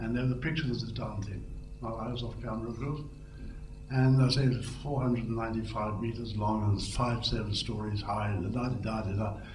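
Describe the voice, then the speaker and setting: A man with a medium pitch and fairly even intonation speaks fairly quickly, with noticeable background noise behind him. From India, educated in England. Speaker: former radio announcer and television newsreader. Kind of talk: reminiscing speech at an anniversary event, anecdotes. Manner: relaxed, humorous, storytelling.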